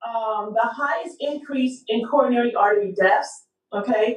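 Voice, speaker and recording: A woman talks with ordinary pitch variation. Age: 50s. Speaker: health care provider. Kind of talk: casual health talk. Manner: hesitant, many fillers.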